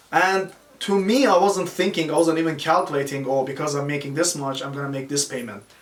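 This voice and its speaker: Noticeable background noise accompanies a man who talks at a fairly quick pace in a fairly high pitch with ordinary pitch variation. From Iran. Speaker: army veteran, personal trainer. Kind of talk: podcast interview answer.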